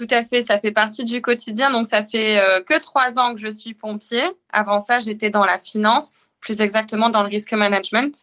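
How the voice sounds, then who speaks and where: With a normal speaking voice, a woman talks at a moderate pace, her fairly high pitch kept to fairly even intonation. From northern France. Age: 20s. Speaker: firefighter officer and amateur triathlete. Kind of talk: casual interview.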